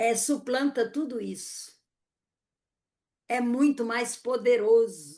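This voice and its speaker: Pausing often and at length, a woman with a high pitch and a dark, mellow tone speaks very slowly with ordinary pitch variation. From Northeast Brazil, Fortaleza. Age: 70s. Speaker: poet and educator. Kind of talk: interview conversation.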